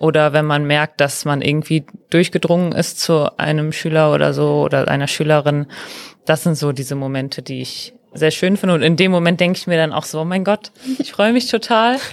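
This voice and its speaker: Talking at a fairly quick pace, a woman uses a very deep, low pitch with ordinary pitch variation. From Ruhr area, Germany (Mülheim). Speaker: trainee teacher. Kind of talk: casual interview.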